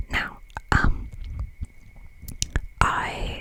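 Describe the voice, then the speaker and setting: Someone is whispering. Noticeable background noise is present. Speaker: ASMR creator. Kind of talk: ASMR reading of a game guide. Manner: whispered.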